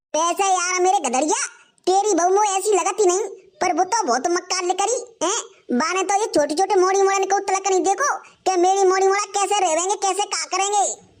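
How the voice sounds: An extremely high-pitched, cartoonish character voice speaks at a moderate pace.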